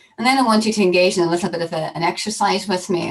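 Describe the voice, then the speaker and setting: Over noticeable background noise, a woman with a Northern Irish accent speaks at a very fast pace in a fairly low pitch. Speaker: professor. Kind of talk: conference welcome address. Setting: virtual conference, video call. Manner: hesitant, many fillers.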